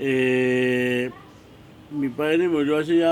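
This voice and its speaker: The man's medium-pitched voice carries fairly even intonation while noticeable background noise runs beneath it. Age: 60s. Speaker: locksmith, market vendor. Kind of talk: documentary interview testimony. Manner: halting, many repetitions.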